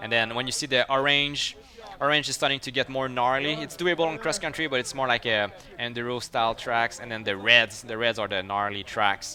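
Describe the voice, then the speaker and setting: A man with a French Canadian accent talks at medium pitch. His pace is moderate and his pitch varies in an ordinary way. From Quebec. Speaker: mountain biker and YouTuber. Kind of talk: live stream commentary. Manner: animated.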